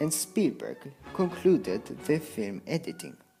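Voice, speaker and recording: The speech moves at a fairly slow pace with music in the background. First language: non-native English speaker. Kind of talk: documentary narration about a film director.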